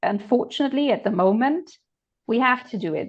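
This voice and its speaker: With a German accent, a woman speaks at a fairly quick pace in a high pitch with ordinary pitch variation. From Germany. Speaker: political commentator. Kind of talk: casual discussion.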